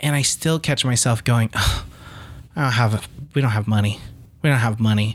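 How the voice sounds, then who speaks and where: Speaking at a moderate pace with long, frequent pauses, a man keeps very even loudness, his medium-pitched, somewhat breathy voice showing ordinary pitch variation. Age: 30s. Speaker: podcast co-host. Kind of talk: casual chat.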